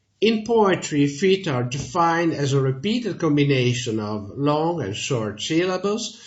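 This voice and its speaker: Somewhat breathy and very slow, a man with an Italian accent speaks in very wide pitch swings amid audible room echo. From Italy. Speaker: language teacher. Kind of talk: tutorial.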